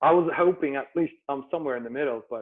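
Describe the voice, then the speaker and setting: The pace from this man is very fast. There is ordinary variation in his pitch. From Turkey, Istanbul. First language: Turkish. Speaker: entrepreneur. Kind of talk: interview. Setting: video call.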